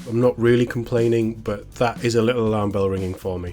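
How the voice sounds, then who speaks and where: Over background music, a man talks at a fairly quick pace in a fairly low pitch. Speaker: YouTube news and entertainment commentator. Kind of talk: casual news commentary to camera.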